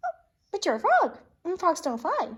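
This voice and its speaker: Squeaky and at an extremely high pitch, a woman speaks in a put-on character voice. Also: moderate pace. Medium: read story. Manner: chirpy.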